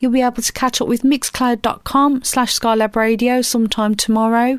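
A woman with a British accent talks in a high pitch. The sound is dry and close, with no echo. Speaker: radio DJ. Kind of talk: radio DJ patter, live chilled-music show links. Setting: radio studio. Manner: relaxed, mellow, friendly.

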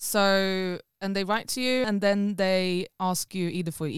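A woman's medium-pitched voice comes through dry and close with no echo, on a very clean recording with a silent background. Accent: Swedish. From Sweden. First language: Swedish. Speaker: musician. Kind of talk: casual chat. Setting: studio.

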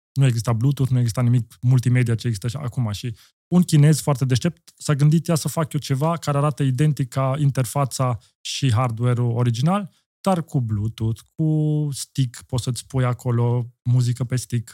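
Dark, mellow in tone, the voice shows ordinary pitch variation on a very clean recording with a silent background and a dry, close sound with no echo. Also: man, medium pitch for a man, moderate pace. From Austria. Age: 40s. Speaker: entrepreneur. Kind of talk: casual chat.

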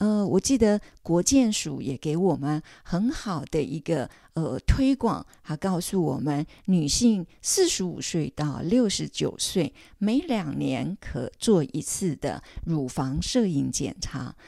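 The voice has a dark, mellow tone and very wide pitch swings. It moves at a very slow pace on a very clean recording with a silent background. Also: woman, fairly low pitch for a woman. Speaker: podcast host, retired counselor. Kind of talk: scripted narration. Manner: hesitant, many filler sounds.

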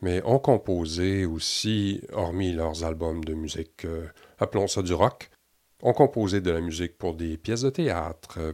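A man's very deep, low voice at a very slow pace. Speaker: podcast host, physiotherapist. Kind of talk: scripted narration; interview.

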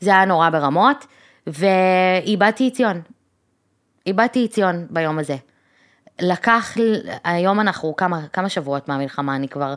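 With lively intonation and a medium pitch, a woman speaks at a moderate pace, leaving long, frequent pauses. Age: 30s. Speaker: podcast co-host. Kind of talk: casual chat.

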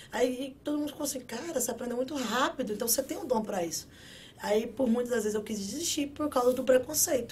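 A woman talks very fast in a high pitch, with an animated tone and ordinary pitch variation. Noticeable background noise runs under her speech. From Brazil. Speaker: construction worker and social media influencer. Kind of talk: casual interview.

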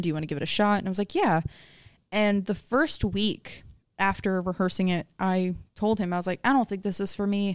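Speaking at a fairly quick pace, a woman with a normal speaking voice and medium pitch is heard on a very clean recording with a silent background. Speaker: guest, musician's wife and singer. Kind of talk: casual interview chat.

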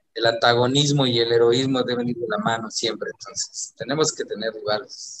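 With an unremarkable speaking voice, a man talks at a moderate pace in a medium pitch, keeping fairly even intonation and hardly any pauses. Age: 40s. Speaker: singer and football fan. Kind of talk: casual chat.

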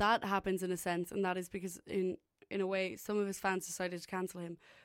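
A woman with an Irish accent speaks at a fairly quick pace and medium pitch, on a very clean recording with a silent background. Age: 20s. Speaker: student radio host. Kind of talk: casual chat. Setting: radio station studio. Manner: animated.

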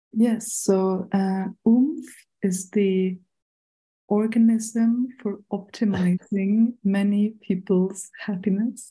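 A woman with a German accent speaks at a very slow pace and medium pitch. Her dark, mellow tone is somewhat breathy, with fairly even intonation. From Germany, Berlin. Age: 30s. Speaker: international community coordinator. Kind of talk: casual chat.

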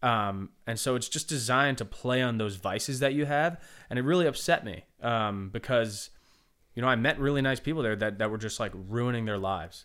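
An ordinary speaking voice from a man with an American accent, medium pitch, ordinary pitch variation and a fairly quick pace, in a very clean recording with a silent background. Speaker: singer-songwriter. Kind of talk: casual interview. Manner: casual, laid-back.

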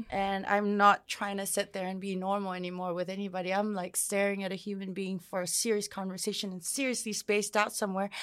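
Speaking very fast in a Samoan accent, the voice stays monotone with flat intonation. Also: woman, medium pitch for a woman. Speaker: musician. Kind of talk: casual interview.

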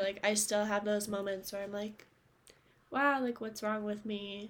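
A woman speaks at a moderate pace in a fairly high pitch, an ordinary speaking voice. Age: 20s. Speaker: podcast co-host. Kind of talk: casual chat; reading aloud.

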